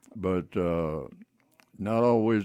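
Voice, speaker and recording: A man's very deep, low voice, dark and mellow in tone, at a very slow pace. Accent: West Texas. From West Texas. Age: 80s+. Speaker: retired teacher and tire businessman. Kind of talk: radio interview.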